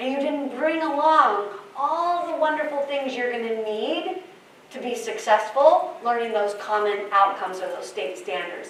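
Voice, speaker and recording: A woman speaks at a high pitch and moderate pace, her voice making very wide pitch swings and big swings in loudness. Audible room echo and noticeable background noise are present. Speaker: early childhood education presenter. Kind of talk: workshop presentation. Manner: animated.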